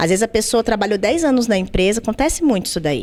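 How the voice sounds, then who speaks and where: Lively intonation from a woman with a fairly high pitch. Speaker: labor lawyer. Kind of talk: podcast interview. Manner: fast.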